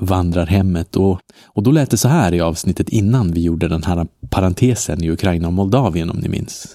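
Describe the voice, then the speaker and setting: Over a silent background in a very clean recording, a man with a very deep, low pitch and a dark, mellow tone speaks at a moderate pace with fairly even intonation. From northern Sweden (Norrland). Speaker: travel podcast host. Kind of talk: travel narration. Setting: outdoors on hostel balcony.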